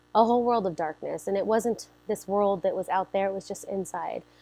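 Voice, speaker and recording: A woman of medium pitch with an American accent, set against a quiet background. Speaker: church member sharing testimony. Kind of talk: testimony. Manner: loud, energetic.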